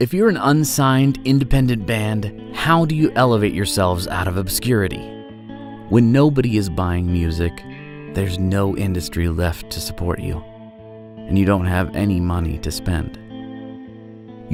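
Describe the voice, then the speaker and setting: A man talks in a fairly low voice. Music can be heard in the background. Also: fairly slow pace. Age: young. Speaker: voice actor. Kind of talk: marketing campaign case-study narration.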